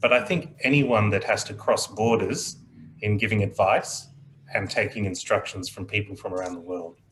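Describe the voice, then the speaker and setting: Over noticeable background noise, a man with an Australian accent speaks in a calm tone at a fairly low pitch. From Australia, child of Indian immigrants. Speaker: aviation mediator. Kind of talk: panel discussion. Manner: slow, measured.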